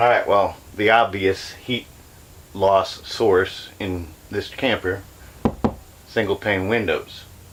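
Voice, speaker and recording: With a Southern US accent, a man speaks at a fairly low pitch and a very slow pace, leaving long, frequent pauses. His intonation is fairly even, and there is noticeable background noise. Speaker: RV camper. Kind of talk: casual talk to camera.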